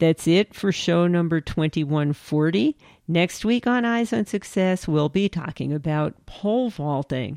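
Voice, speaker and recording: Against a quiet background, a woman has a normal speaking voice, fairly low in pitch, with lively intonation at a fairly slow pace. The sound is dry and close, with no echo. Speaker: podcast co-host. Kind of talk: interview.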